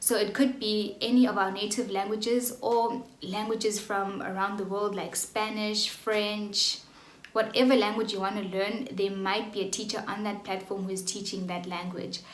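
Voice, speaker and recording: With a South African accent, a woman talks at a moderate pace in a monotone, flat way at a medium pitch, with noticeable background noise and audible room echo. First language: Xhosa. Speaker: online English tutor. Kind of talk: vlog tutorial. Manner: casual, with fillers.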